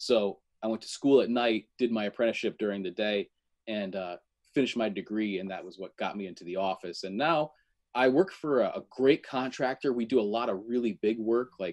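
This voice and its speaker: Against a quiet background, a man talks at a fairly quick pace with a medium pitch, ordinary pitch variation and big swings in loudness, the sound dry and close with no echo. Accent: US Northeastern. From Connecticut. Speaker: electrician and menswear reviewer. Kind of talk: casual chat.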